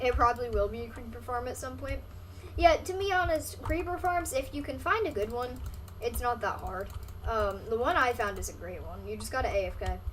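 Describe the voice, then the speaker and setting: Speaking fairly quickly, a woman is heard through noticeable background noise and audible room echo. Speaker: gaming streamer. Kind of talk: live gameplay stream commentary. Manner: fast; casual, filler-heavy.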